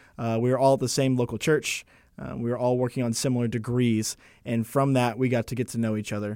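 On a very clean recording with a silent background, a man with an American accent talks very fast in a dark, mellow, medium-pitched voice with fairly even intonation. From Texas, Arlington. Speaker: seminary student and podcast engineer. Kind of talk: interview.

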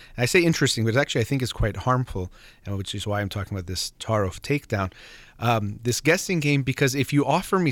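Lively intonation marks this man's speech. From Iranian heritage. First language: Farsi. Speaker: radio host and psychologist. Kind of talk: call-in advice show. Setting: studio.

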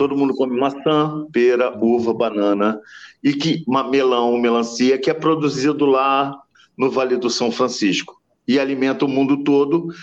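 With very even loudness, a man talks at a fairly slow pace, his medium-pitched voice holding fairly even intonation. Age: 50s. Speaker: biologist and climate coalition coordinator. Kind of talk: radio interview. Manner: halting, many repetitions.

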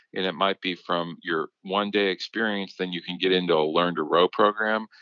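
A man with a plain, everyday voice speaks in an American accent at a moderate pace. His pitch is fairly low and his intonation fairly even. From Minnesota. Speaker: nonprofit executive director, rowing organizer. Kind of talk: interview.

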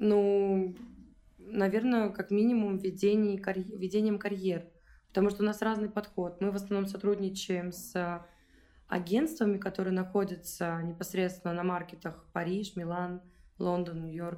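Her tone is dark and mellow. The woman speaks at a moderate pace. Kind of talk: casual interview chat.

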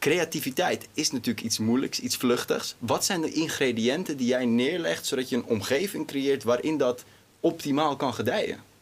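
Speaking at a moderate pace, a man with an ordinary speaking voice holds a fairly high pitch, very even loudness and ordinary pitch variation. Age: 20s. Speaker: interview host. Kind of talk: interview.

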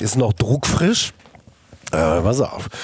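A man talks at a very slow pace while noticeable background noise carries on behind him. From Ruhr area, Germany. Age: 50s. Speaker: business executive and agency founder. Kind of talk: interview. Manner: casual, colloquial with many fillers.

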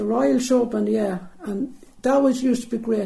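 A woman with an Irish accent has a dark, mellow, somewhat breathy tone, ordinary pitch variation and a moderate pace. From Jamestown, County Leitrim, Ireland. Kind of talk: interview recollection.

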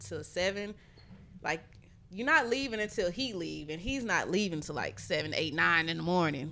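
A woman's fairly low voice, bright and sharp in tone, with vocal fry at a moderate pace. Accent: American. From Houston, Texas. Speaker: music producer. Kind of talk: casual chat.

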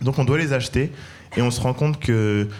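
Using an unremarkable speaking voice, the man keeps a medium pitch and shows ordinary pitch variation. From Paris, 13th arrondissement. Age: 30s. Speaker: entrepreneur, food brand cofounder. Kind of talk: live panel discussion. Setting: live event with audience.

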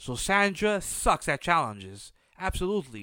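On a very clean recording with a silent background, a man's raised, projected voice has a high pitch, a bright, sharp tone and very wide pitch swings. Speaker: podcast host. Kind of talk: solo recap monologue. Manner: casual, filler-heavy.

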